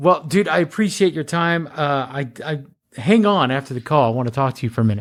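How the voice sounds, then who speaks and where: Lively in intonation, a man speaks very fast in a fairly high pitch. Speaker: podcast host. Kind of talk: podcast outro; casual chat.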